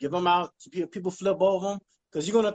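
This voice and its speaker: Recorded with a dry, close sound and no echo, a high-pitched man with an American accent talks at a very fast pace. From Baltimore, Maryland and South Carolina. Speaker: clothing line owner. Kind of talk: casual interview.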